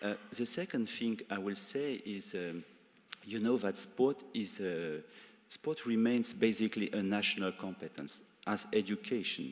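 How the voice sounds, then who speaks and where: Speaking with a French accent, a man uses a fairly low pitch. His pace is fairly slow, with ordinary pitch variation. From France. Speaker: EU civil servant. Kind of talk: conference speech. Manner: halting, many fillers.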